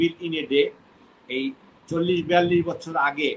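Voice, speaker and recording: There is light background noise behind this voice. A man speaks at a high pitch. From Bangladesh. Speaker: expatriate businessman and insurance company chairman; interviewee. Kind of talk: interview, recounting his career. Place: home room. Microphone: video call.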